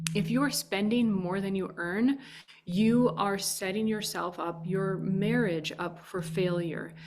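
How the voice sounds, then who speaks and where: A woman with a Minnesotan accent speaks at a fairly slow pace and medium pitch, with ordinary pitch variation and audible room echo. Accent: Minnesota. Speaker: podcast host. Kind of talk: casual advice monologue.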